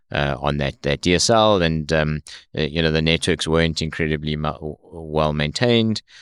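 Recorded very cleanly against a silent background with a dry, close sound and no echo, a man speaks at a moderate pace in a very deep, low pitch with ordinary pitch variation. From South Africa. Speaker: tech company founder. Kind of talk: interview. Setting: studio.

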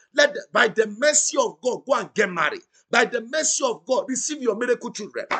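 A man with an extremely high pitch uses a raised, projected voice in a bright, sharp tone, speaking at a fairly quick pace with lively intonation. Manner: rhythmic, repetitive and insistent, rising with intensity as he decrees blessings; loud, exclamatory and exhorting, urging the audience to shout back.

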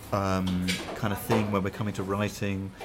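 Music plays in the background as a man speaks with a fairly low pitch. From Hertfordshire, southern England. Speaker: band drummer. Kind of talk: casual interview chat. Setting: coffee shop at a festival. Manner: hesitant, many fillers.

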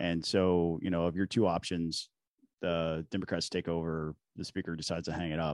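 A man speaks at a fairly quick pace with a very deep, low pitch and monotone, flat intonation. The sound is dry and close with no echo, over a quiet background. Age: 40s. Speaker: state legislator. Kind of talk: casual chat.

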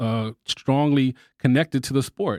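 Medium-pitched speech from a man with an American accent and fairly even intonation, dry and close with no echo, on a very clean recording with a silent background. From Texas. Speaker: boxing podcast co-host. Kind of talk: casual chat.

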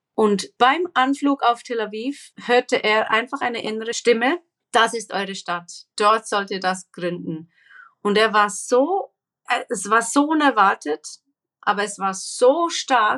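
Bright and sharp in tone, the voice moves at a very slow pace with lively intonation, the sound dry and close with no echo. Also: woman, fairly high pitch for a woman. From Papua New Guinea, Swiss family. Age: 40s. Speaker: social entrepreneur against human trafficking. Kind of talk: interview. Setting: remote call from Israel.

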